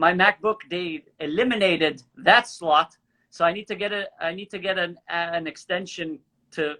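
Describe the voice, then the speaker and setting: With a slight French Canadian accent, a man speaks in a high, bright, sharp voice with fairly even intonation and big swings in loudness, the sound dry and close with no echo. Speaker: actor and comedy creator. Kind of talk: casual chat. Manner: fast.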